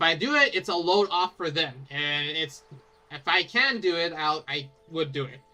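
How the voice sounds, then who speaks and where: Over music in the background, a man with a fairly high voice talks at a moderate pace with ordinary pitch variation. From Canada. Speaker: gamer streamer. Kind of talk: casual chat. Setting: live stream. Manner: loud; rambling, halting.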